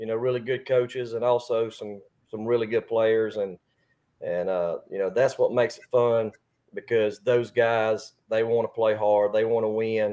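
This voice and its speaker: At a moderate pace, a man with an Alabama accent talks at a medium pitch in a dark, mellow tone with fairly even intonation. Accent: Southern US (Alabama). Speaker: high school baseball coach. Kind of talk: interview. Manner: loud.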